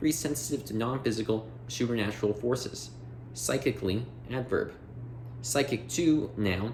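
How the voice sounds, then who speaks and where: A man's normal speaking voice at medium pitch, moderate pace and ordinary pitch variation. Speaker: audiobook reader. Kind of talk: reading aloud.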